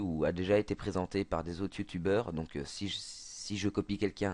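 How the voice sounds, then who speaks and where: A man talks in a fairly low pitch against a quiet background. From Belgium. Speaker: video game youtuber. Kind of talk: gameplay tutorial. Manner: halting, many fillers and repetitions.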